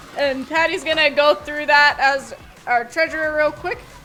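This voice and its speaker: Over noticeable background noise, a woman speaks at a high pitch and a moderate pace. Her intonation is fairly even. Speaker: community council chair. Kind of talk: public meeting chairing. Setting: outdoor pavilion with audience.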